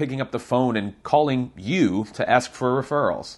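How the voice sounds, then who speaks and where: A man's unremarkable speaking voice at medium pitch, moderate pace and ordinary pitch variation. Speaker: realtor and show host. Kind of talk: audiobook reading of own book chapter. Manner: conversational, candid, sardonic.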